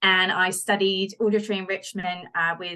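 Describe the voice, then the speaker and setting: At a fairly quick pace, a woman with a bright, sharp tone speaks at medium pitch in a monotone, flat intonation. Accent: British. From United Kingdom. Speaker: wildlife researcher. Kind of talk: interview.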